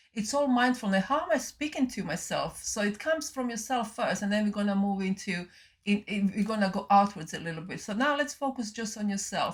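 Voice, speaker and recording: Somewhat breathy, fairly high female voice with ordinary pitch variation. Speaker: spiritual channeler and mindfulness teacher. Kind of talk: channeled spiritual talk. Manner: halting, many fillers and repeats.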